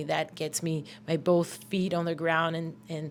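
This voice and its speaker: A woman with a Portuguese accent speaks at a fairly slow pace in a very clean recording with a silent background. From Brazil, São Paulo. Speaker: death metal musician and vocalist. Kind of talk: interview. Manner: halting, many fillers and repetitions.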